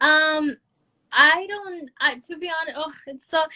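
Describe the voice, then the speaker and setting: Raising and projecting her voice, a woman speaks at a high pitch with a bright, sharp tone. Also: dry, close sound with no echo. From France, Brazilian parents. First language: French. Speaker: musician. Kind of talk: interview. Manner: halting.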